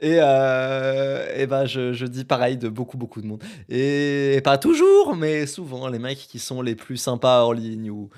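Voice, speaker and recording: At a very slow pace and with hardly any pauses, a man of medium pitch keeps his intonation fairly even while his loudness swings widely. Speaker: podcaster and YouTuber. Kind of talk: solo podcast monologue. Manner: casual, filler-heavy.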